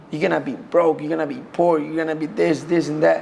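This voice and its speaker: Background noise is noticeable. A man speaks at a fairly quick pace. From Colombia. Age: 20s. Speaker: MMA fighter. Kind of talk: interview. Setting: at home.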